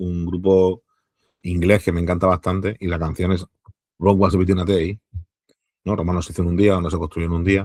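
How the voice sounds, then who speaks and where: A man's very deep, low voice in a dry, close sound with no echo. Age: 40s. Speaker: historian and archaeologist. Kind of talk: interview conversation. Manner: casual, hesitant fillers.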